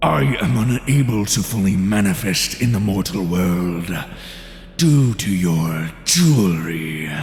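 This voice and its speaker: Using a put-on character voice, a man speaks at a fairly slow pace with a very deep, low pitch, over clear background noise and clear echo. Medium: audio drama. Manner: eager for violence.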